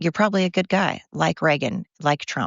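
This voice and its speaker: With an American accent, a woman talks at a fairly low pitch with ordinary pitch variation. Vocal fry runs through her voice. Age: 50s. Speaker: podcast host. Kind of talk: casual monologue. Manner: fast; animated.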